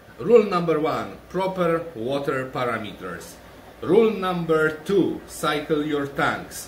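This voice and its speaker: Amid noticeable background noise and audible room echo, a man speaks at a very slow pace with a fairly high pitch and ordinary pitch variation. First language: Polish. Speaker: aquarium shrimp breeder, channel owner. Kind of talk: tutorial. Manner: halting.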